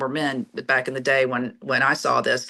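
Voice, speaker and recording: A woman with an American accent and a bright, sharp tone, at a moderate pace. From US South, Pensacola, Florida. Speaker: plaintiff's lawyer, law firm owner. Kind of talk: podcast interview. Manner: animated.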